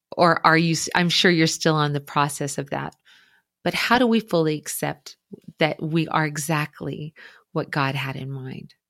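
A woman with a very deep, low pitch and ordinary pitch variation speaks at a moderate pace. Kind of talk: interview. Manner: loud.

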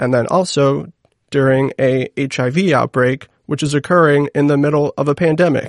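Fairly slow and fairly high-pitched, a man talks in a plain, everyday voice. His intonation is fairly even, and the sound is dry and close with no echo. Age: 30s. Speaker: podcast host. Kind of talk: scripted intro; interview. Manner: casual, filler-heavy questions.

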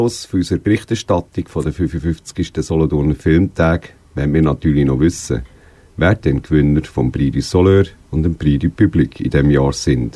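A man's very deep, low pitch with a dark, mellow tone and vocal fry. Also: ordinary pitch variation, moderate pace. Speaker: radio host. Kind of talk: radio magazine presenting and interviewing.

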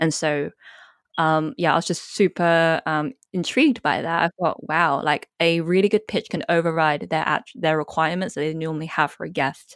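A fairly low-pitched woman at a moderate pace, with ordinary pitch variation, on a very clean recording with a silent background and a dry, close sound with no echo. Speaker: copywriter. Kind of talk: casual interview chat. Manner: excited, animated.

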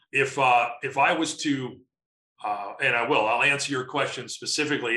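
Bright, sharp tone in an American accent at a moderate pace. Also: man. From US Midwest, Chicago. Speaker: sales and marketing consultant. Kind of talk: interview.

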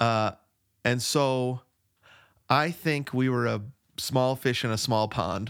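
Very slowly and with long, frequent pauses, a man speaks at medium pitch with ordinary pitch variation. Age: 40s. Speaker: podcast co-host. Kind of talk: casual chat. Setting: remote recording.

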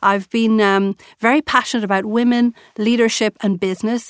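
A woman's fairly high voice in an Irish accent at a fairly quick pace, dry and close with no echo, on a very clean recording with a silent background. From Ireland. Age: 40s. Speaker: entrepreneur. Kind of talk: interview. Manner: animated.

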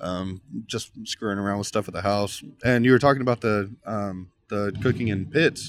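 Someone with a Texan accent talks at a moderate pace with fairly even intonation. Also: man, fairly low pitch for a man. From Texas, Uvalde. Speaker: pitmaster. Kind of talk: casual chat. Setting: on location at his barbecue trailer.

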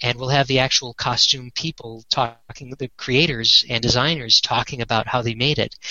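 In a normal speaking voice, a man talks at a moderate pace and medium pitch with fairly even intonation and hardly any pauses. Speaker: Star Trek set collector and fan project founder. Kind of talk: casual interview chat.

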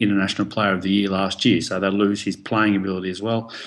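Against a quiet background, a man with an Australian accent talks at a very fast pace and fairly low pitch. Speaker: professional rugby player. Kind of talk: casual interview.

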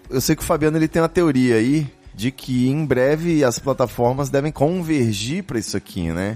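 The voice has a dark, mellow tone and lively intonation. It moves at a moderate pace. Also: man, medium pitch for a man. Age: 30s. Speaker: podcast host. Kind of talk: casual chat. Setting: live stream studio.

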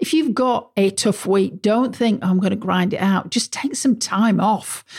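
This woman's voice is somewhat breathy. She speaks at a fairly slow pace. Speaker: podcast host. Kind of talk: solo podcast monologue on business productivity. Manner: casual, conversational, with filler words.

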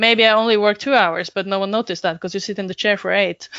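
A woman with a Norwegian accent speaks at a very fast pace. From Norway. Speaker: web designer and business consultant. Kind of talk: interview.

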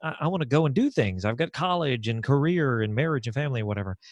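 Over a quiet background, a man with a fairly high voice talks very fast with lively intonation, the sound dry and close with no echo. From small town. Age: 30s. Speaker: podcaster, legally blind. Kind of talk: roundtable discussion.

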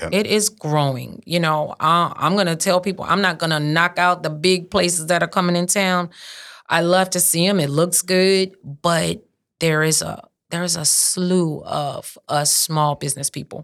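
In a south Louisiana accent, a woman speaks at a moderate pace with fairly even intonation and a fairly low pitch. The recording is very clean, with a silent background. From south Louisiana, St. Martin Parish. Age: 50s. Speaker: restaurant owner. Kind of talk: casual interview. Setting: studio.

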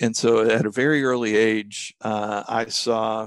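A man talks at a medium pitch with fairly even intonation. The sound is dry and close with no echo, over a quiet background. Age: 60s. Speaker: business financial coach. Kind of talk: interview. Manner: hesitant fillers.

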